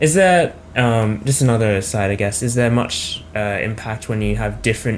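Spoken with an Australian accent, this voice moves at a moderate pace with ordinary pitch variation. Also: man, fairly low pitch for a man. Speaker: podcast host. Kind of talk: interview.

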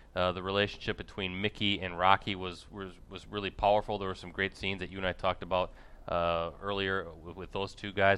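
A man with a very deep, low pitch and a bright, sharp tone talks at a fairly quick pace in a monotone, flat intonation, with big swings in loudness. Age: 40s. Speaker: sports reporter and podcast co-host. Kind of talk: casual chat.

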